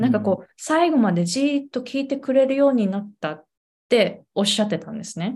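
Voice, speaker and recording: A woman speaks at a very fast pace in a fairly high pitch, somewhat breathy, with lively intonation. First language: Japanese. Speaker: pronunciation coach and podcast host. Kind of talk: casual interview. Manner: animated.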